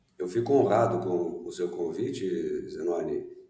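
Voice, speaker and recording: There is audible room echo while this man talks at a moderate pace. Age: 60s. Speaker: education management consultant. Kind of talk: interview. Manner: hesitant, many fillers.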